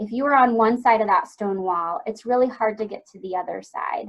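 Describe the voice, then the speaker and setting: A woman with a medium pitch keeps up a fairly quick pace. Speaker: webinar presenter, family support counselor. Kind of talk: educational webinar presentation. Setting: online webinar. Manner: fast.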